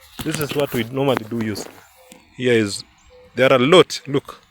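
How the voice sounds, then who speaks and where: Speaking fairly quickly with a Kenyan accent, a man uses a medium pitch and ordinary pitch variation, in a dry, close sound with no echo and noticeable background noise. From Kenya, Kalenjin (Kipsigis) area. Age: 20s. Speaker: vlogger. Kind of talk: casual vlog narration outdoors. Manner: halting, many fillers and repeats.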